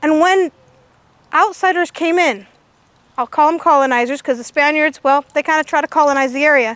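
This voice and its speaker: Loud and animated, a woman with an American accent speaks at a fairly quick pace in a high pitch with lively intonation, the sound dry and close with no echo. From California, near Hollister. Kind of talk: public talk to outdoor audience.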